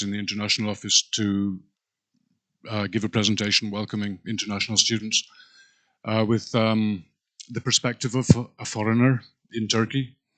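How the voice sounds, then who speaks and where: In a quiet setting, a man with a fairly low pitch and a bright, sharp tone talks in a flat monotone. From Scotland. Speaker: university staff presenter. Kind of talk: welcome presentation. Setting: live stream. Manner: hesitant, frequent um fillers.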